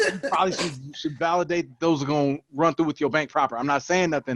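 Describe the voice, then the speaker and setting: A loud man at a very fast pace, animated in tone with ordinary pitch variation, in a dry, close sound with no echo over a quiet background. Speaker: podcast co-host. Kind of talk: casual chat.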